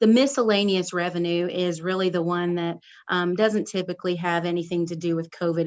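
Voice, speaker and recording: The intonation stays fairly even in an ordinary speaking voice. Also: woman. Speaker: city finance official. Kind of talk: council committee report.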